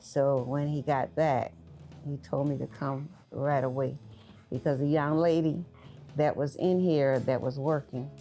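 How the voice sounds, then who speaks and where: A woman speaks with an American accent in a very deep, low pitch with a dark, mellow tone and ordinary pitch variation. Her pace is fairly slow, with long, frequent pauses. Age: 70s. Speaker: barber. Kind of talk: interview.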